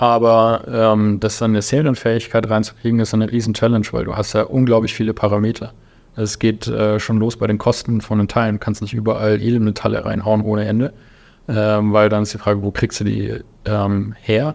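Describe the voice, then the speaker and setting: A man speaks quickly at a fairly low pitch, his intonation monotone and flat. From Lower Franconia, Germany (Volkach). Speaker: aerospace engineer and drone startup founder. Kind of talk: casual interview.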